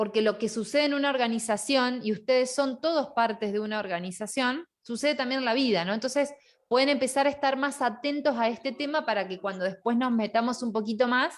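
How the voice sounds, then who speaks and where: A woman speaks loudly and fairly quickly at a high pitch, with hardly any pauses. Her pitch varies in an ordinary way, and the recording is very clean with a silent background. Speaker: online course teacher. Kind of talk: lecture.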